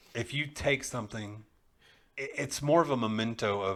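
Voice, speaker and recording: A man at a medium pitch with a Texan accent, a moderate pace and ordinary pitch variation, in a very clean recording with a silent background. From Texas (east Texas). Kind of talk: casual chat.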